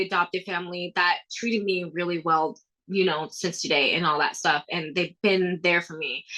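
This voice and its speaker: In a Thai accent, a woman speaks at medium pitch with a bright, sharp tone. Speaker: athlete and motivational speaker. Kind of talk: podcast interview. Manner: casual, filler-heavy.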